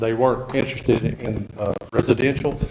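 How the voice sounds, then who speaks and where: Amid noticeable background noise and audible room echo, a man talks fairly quickly at a medium pitch with monotone, flat intonation. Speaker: property owner applying for rezoning. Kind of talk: public hearing testimony. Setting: council meeting room with microphone.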